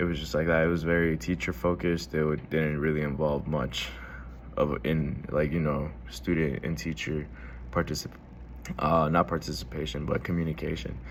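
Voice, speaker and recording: Vocal fry runs through a man's very deep, low voice. He keeps a moderate pace with ordinary pitch variation. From Houston, Texas (Alief). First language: Spanish. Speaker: student vlogger. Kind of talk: casual monologue vlog. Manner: informal, many fillers.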